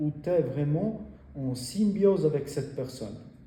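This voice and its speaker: In an Italian accent, the voice has a dark, mellow tone and sounds somewhat breathy. Intonation is lively, and audible room echo surrounds it. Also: man. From Italy. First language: Italian (speaking French). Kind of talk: talk about faith to an audience. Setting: in front of a group. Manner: halting, many hesitations.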